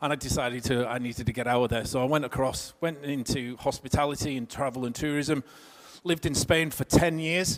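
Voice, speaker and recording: A man's fairly high voice, fairly even in intonation, at a fairly quick pace. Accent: northwest English. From northwest England. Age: 50s. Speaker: career coach. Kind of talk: seminar talk. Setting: stage with audience. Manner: conversational.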